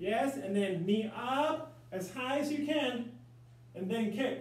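Lively intonation runs through very slow speech, with audible room echo around it. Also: man. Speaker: martial arts instructor. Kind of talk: instruction and coaching for an online class. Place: home room. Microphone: camera far.

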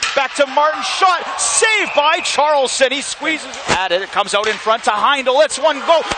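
Over noticeable background noise, a man talks at an extremely high pitch with very wide pitch swings. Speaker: hockey play-by-play announcer. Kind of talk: live hockey play-by-play commentary. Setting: arena broadcast booth. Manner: rapid-fire, staccato calls building to excited goal shouts; relaxed, chatty asides to co-commentator between plays.

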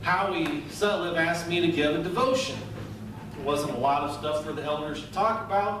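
Audible room echo and noticeable background noise accompany the recording. A man speaks at a moderate pace. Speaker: pastor. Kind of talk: sermon. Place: church.

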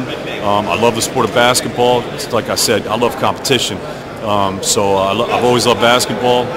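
Over loud background noise, a man with an American accent talks at a fairly quick pace. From Brooklyn, New York. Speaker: ring announcer and arena voice of a basketball team. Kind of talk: interview answer, casual and energetic talk. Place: hall.

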